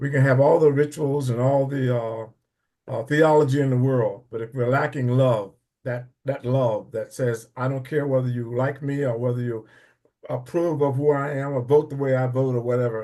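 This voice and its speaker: With a dark, mellow tone, a man speaks at a moderate pace and keeps his intonation fairly even. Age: 80s+. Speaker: church member. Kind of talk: testimony. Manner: halting.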